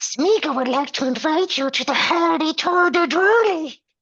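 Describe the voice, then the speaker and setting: In a put-on character voice, the speaker whines at a high pitch and a moderate pace. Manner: whiny, wheedling.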